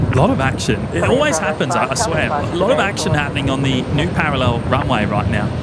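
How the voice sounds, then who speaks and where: Rushing along at a very fast pace with hardly any pauses, a man with a fairly high pitch uses lively intonation amid audible room echo and noticeable background noise. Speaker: plane spotting live streamer. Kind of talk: casual live stream chat.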